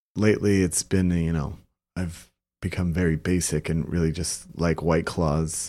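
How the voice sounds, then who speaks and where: In an American accent, a man speaks at a very deep, low pitch with a dark, mellow tone and fairly even intonation. His pace is moderate, and the recording is very clean, with a silent background. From Texas, Brownsville. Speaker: competitive skee ball player. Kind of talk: casual interview.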